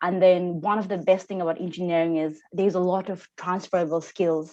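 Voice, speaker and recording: The speaker talks at a fairly quick pace in a Nepali accent, with fairly even intonation over a quiet background. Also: woman. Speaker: engineer. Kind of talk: panel discussion. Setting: video call. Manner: halting.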